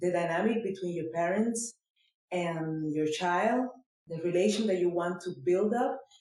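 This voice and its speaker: Someone with a non-native accent speaks at a fairly slow pace. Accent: foreign. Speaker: podcast host. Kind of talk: interview.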